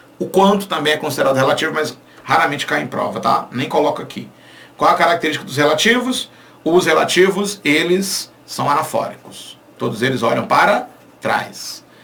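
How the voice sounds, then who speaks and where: A fairly high-pitched man speaks in an animated tone with lively intonation at a moderate pace. The recording carries audible room echo and noticeable background noise. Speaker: Portuguese language teacher. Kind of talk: online lecture.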